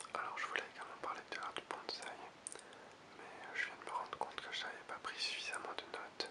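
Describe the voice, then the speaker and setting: Amid noticeable background noise, a man whispers at a fairly quick pace. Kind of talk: ASMR whispered talk. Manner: whispered.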